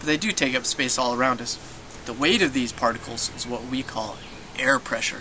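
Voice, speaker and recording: Noticeable background noise runs under the recording. A man speaks at medium pitch and a moderate pace. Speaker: science presenter. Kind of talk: educational tutorial. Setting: home kitchen. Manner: soft-spoken; animated.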